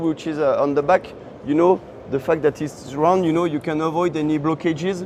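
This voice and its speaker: A man with fairly high pitch talks at a fairly quick pace over noticeable background noise. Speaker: farm machinery manufacturer representative. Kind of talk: product explanation interview. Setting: trade show floor. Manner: halting, many fillers.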